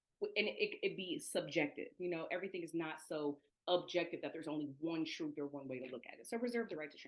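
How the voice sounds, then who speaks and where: A woman with an American accent, fairly low in pitch, at a very fast pace with hardly any pauses, ordinary pitch variation and big swings in loudness. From US Midwest, Toledo, Ohio. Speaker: education equity trainer. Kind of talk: online presentation.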